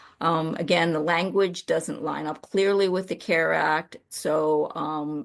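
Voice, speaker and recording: Vocal fry marks the speech. The speaker is a woman with a very deep, low pitch. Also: quiet background. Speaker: trainer on legal process. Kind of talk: training lecture.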